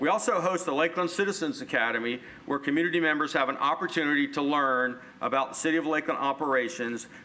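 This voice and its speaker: There is noticeable background noise behind this man's fairly high voice. He talks at a very fast pace with ordinary pitch variation. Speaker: city communications director. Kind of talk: presentation. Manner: loud.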